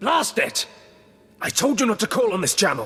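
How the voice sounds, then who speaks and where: Over music in the background, a man does a raspy put-on character voice at an extremely high pitch and a moderate pace. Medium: video game. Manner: arrogant, barking.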